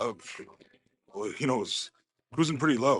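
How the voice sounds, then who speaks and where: A man's raspy put-on character voice, fairly high for a man, at a fairly quick pace. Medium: video game.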